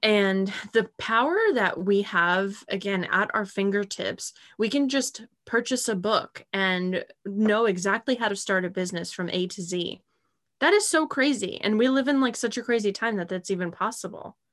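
A woman speaks at a moderate pace in a medium pitch with ordinary pitch variation against a quiet background. She has an ordinary speaking voice. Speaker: podcast co-host. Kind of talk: casual chat.

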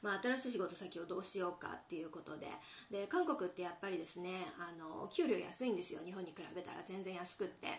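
A woman's medium-pitched voice with ordinary pitch variation, noticeable background noise and audible room echo. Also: fairly quick pace. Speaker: handmade interior accessory maker. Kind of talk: solo podcast talk. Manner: polite, many filler pauses.

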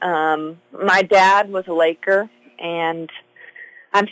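A woman uses a normal speaking voice at medium pitch with fairly even intonation, the sound dry and close with no echo. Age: 20s. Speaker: high school basketball coach. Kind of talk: casual interview.

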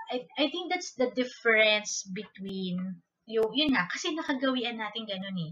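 The woman's tone is bright and sharp, with lively intonation. She keeps a moderate pace. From Philippines, Manila. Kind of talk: casual solo talk with book reading.

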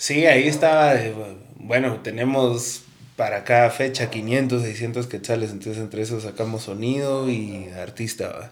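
At a fairly slow pace, a man with an ordinary speaking voice talks at medium pitch with fairly even intonation. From Guatemala City. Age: young. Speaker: musician and music promoter. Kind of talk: casual chat.

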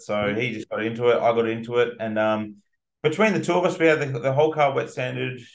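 A man of medium pitch talks with an Australian accent at a fairly quick pace and with ordinary pitch variation. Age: young. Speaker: car detailer and business owner. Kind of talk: casual interview. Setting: podcast recording. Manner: animated.

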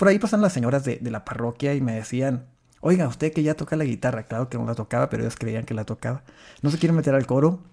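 A man's medium-pitched voice with a dark, mellow tone, lively intonation and a very fast pace, on a very clean recording with a silent background. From Mexico, rural Chihuahua. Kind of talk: personal testimony in interview. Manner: halting with repetitions.

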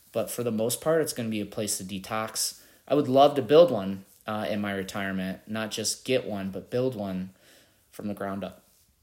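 Recorded very cleanly against a silent background, a man with a normal speaking voice and fairly low pitch talks at a moderate pace with ordinary pitch variation. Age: 40s. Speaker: podcast host. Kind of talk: solo monologue answering interview questions. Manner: casual with many filler words.

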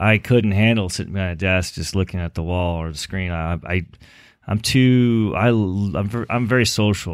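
In a Californian accent, the voice moves at a moderate pace with ordinary pitch variation in a very clean recording with a silent background. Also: man. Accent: Californian American. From Los Angeles, Southern California. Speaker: eyewear company founder. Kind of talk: interview.

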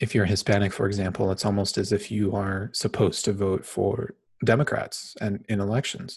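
In an American accent, a man speaks at a moderate pace with a fairly low, somewhat breathy voice. His intonation is monotone and flat, and the recording is very clean with a silent background. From Phoenix, Arizona, US. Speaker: podcast host, organizational psychologist. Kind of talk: solo podcast monologue. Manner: casual, with frequent fillers (um).

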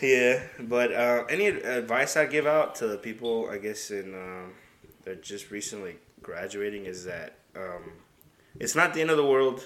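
A man with a normal speaking voice, medium in pitch, at a moderate pace with lively intonation and big swings in loudness. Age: 20s. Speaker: podcast host. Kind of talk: casual chat.

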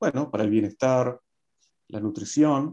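A dark, mellow tone against a quiet background. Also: man. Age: 40s. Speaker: resume writer and career advisor. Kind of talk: interview.

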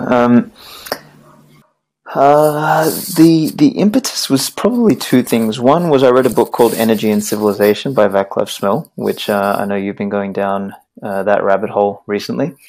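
Here a man talks with a slight Australian accent. His intonation is lively. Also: medium pitch for a man, moderate pace. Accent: milder Australian. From Australia, Balkan family. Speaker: writer, podcast guest. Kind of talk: interview podcast.

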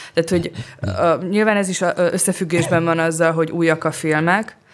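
This woman has a very deep, low voice and keeps her intonation fairly even. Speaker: film critic. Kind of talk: casual chat.

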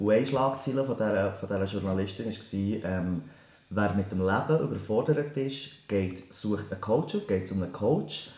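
A man's fairly low voice at a fairly slow pace, with audible room echo. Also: ordinary pitch variation. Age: 30s. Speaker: teacher and life coach. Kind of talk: interview.

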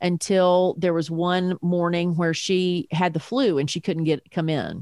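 An ordinary speaking voice moves at a fairly slow pace in a very clean recording with a silent background and a dry, close sound with no echo. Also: woman. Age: 50s. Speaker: parent guest, podcaster. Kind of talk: casual interview chat.

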